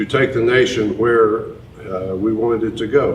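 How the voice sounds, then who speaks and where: A man's fairly low voice with a Tennessee accent, fairly slow and fairly even in intonation, amid audible room echo and noticeable background noise. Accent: Southern US (Tennessee). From US South, East Tennessee. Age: 60s. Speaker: presidential candidate. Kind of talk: town hall interview. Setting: town hall event.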